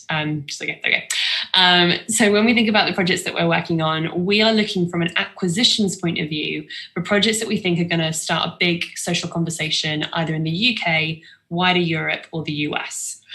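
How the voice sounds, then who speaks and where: A woman speaks at a fairly quick pace with a fairly low pitch and ordinary pitch variation. It is a normal speaking voice. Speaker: film distribution company founder. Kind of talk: online talk.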